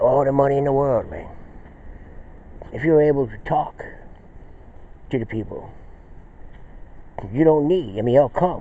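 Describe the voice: The man's voice sits at a medium pitch with a dark, mellow tone. He talks at a fairly slow pace with ordinary pitch variation.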